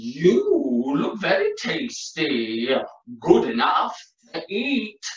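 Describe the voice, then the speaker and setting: A man's put-on character voice at a very slow pace, with a slight echo. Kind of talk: interactive children's storytelling. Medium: read story. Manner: lively, engaging.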